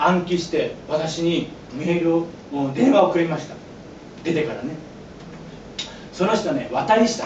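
A high-pitched man with long, frequent pauses, light background noise and audible room echo. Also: ordinary pitch variation, fairly slow pace. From Japan. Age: 40s. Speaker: pastor and former yakuza; pastor. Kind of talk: sermon. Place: church. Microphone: camera far.

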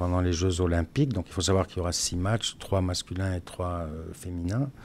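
Light background noise sits behind a man whose pitch is very deep and low. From France, Strasbourg; France. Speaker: former footballer. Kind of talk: casual chat. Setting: studio. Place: studio. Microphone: studio mic.

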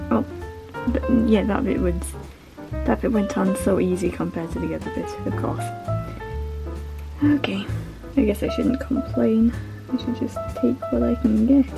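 A woman talks at a moderate pace with long, frequent pauses. Clear music plays in the background. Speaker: taxidermist. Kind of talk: casual craft vlog narration. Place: home room. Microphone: phone near.

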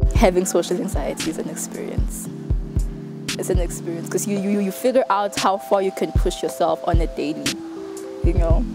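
With clear music in the background, a woman talks in a dry sound with no echo. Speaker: university student. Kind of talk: documentary interview answer. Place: street.

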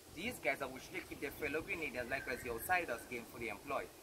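Very fast speech from a man, set against loud background noise. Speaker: distillery tour guide. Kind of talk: tour guide talk. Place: open country. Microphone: camera far.

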